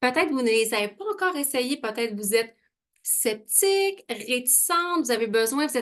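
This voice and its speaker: Speaking in a Quebec accent, a woman talks at a moderate pace and a high pitch. Her tone is animated and her intonation lively. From Quebec, Saguenay region. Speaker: beauty product sales consultant. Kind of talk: online sales presentation. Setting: video call.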